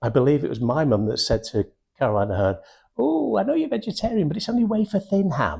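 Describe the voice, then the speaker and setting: A man with a Mancunian accent talks at a fairly quick pace, somewhat breathy and with a dark, mellow tone. His pitch swings very widely. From Manchester, England (Wythenshawe). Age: 60s. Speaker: sales and recruitment trainer. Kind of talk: motivational talk. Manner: animated.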